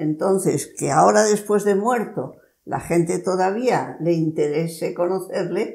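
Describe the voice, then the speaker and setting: Her tone dark and mellow, a woman speaks at a fairly slow pace in a fairly low pitch with ordinary variation. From Spain. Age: 90s. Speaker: nun; interviewee. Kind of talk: interview. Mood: warm, cheerful reminiscing. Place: home room. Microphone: lapel.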